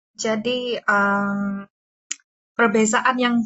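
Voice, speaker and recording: With music playing behind her, a woman speaks very slowly in a fairly high, monotone voice with flat intonation. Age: 20s. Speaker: university student interviewer. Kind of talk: interview. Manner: halting, many fillers.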